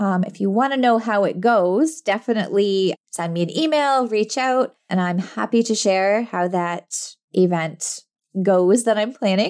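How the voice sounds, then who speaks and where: A woman's medium-pitched voice at a fairly slow pace, with ordinary pitch variation and hardly any pauses. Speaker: podcast host and business coach for introverts. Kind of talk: casual solo monologue. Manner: frequent fillers and laughs; quiet.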